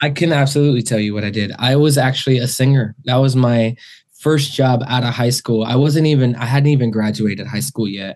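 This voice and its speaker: At a fairly quick pace, a man talks at medium pitch in a normal speaking voice. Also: fairly even intonation. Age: 30s. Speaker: singer. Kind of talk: casual chat.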